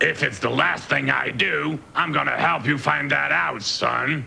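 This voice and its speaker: A man does a raspy, cartoonish character voice at a fairly low pitch, swinging very widely in pitch at a moderate pace over clear background noise. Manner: gruff, hustling.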